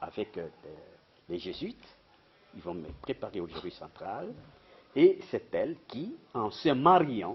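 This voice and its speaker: The speech is very slow, with long, frequent pauses and big swings in loudness. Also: man. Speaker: retired professor and journalist. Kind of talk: interview, life story. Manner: halting.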